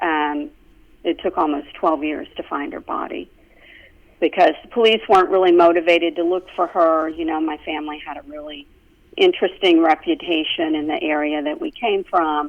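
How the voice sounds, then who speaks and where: Speaking with an American accent, a woman keeps a moderate pace and fairly low pitch, her intonation fairly even but her loudness swinging widely. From US South, Florida-Alabama line and Georgia. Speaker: yoga instructor. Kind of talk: interview.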